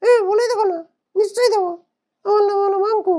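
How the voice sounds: Someone uses a put-on character voice. The pace is fairly quick. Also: man, extremely high pitch for a man.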